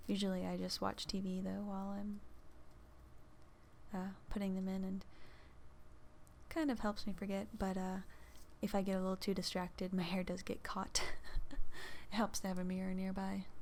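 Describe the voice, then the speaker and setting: Soft-spoken and monotone, a woman talks at a moderate pace in a medium pitch with flat intonation and long, frequent pauses. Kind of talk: casual chatty ASMR talk to camera. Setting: close microphone recording, home. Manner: soft-spoken, chatty.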